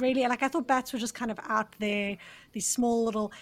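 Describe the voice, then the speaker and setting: A woman speaks at a fairly high pitch, somewhat breathy. The recording is very clean, with a silent background. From South Africa. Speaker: podcast host. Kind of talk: interview.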